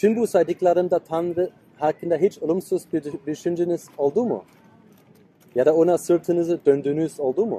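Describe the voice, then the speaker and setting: Music plays in the background as the speaker goes at a moderate pace. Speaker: preacher. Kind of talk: sermon. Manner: loud; halting.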